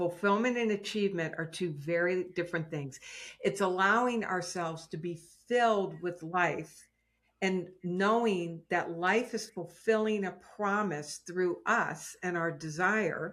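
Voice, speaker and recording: Recorded very cleanly against a silent background, a woman speaks fairly slowly at a medium pitch with ordinary pitch variation in an ordinary speaking voice. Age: 60s. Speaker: success and prosperity teacher. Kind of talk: casual interview chat.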